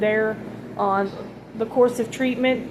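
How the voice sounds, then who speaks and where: A woman's fairly high-pitched voice at a fairly slow pace, with noticeable background noise. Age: 60s. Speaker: vlogger sharing cancer journey. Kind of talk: casual personal vlog. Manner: halting, many fillers.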